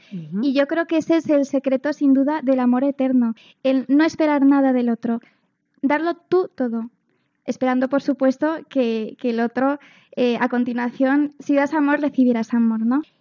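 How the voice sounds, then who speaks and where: A woman with a high voice and fairly even intonation talks at a moderate speed. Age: 20s. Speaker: teacher. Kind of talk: talk show discussion.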